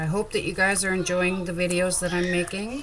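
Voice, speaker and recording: A woman speaks in a space with audible room echo and noticeable background noise. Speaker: crafter. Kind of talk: tutorial. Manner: loud; animated.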